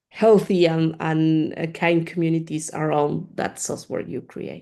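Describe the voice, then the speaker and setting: With a Spanish accent, a woman speaks in a fairly low pitch and a dark, mellow tone, her intonation monotone and flat while her loudness swings widely. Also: fairly slow pace. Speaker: community manager of open-source research software group. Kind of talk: Q&A after a talk. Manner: halting, many fillers and repeats.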